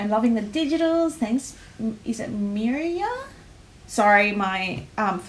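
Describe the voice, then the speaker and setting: A woman with an Australian accent and a fairly high voice speaks fairly slowly with lively intonation and long, frequent pauses over noticeable background noise. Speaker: livestream host presenting a sticker collection. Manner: energetic, frequent fillers.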